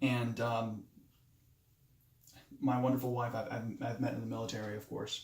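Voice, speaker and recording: This man's voice carries vocal fry. His intonation stays fairly even. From Moldova (came to US at eight). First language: Romanian. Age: 20s. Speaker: nurse and military veteran, student. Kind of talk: self-introduction speech. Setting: self-recorded video. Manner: halting, many fillers and restarts.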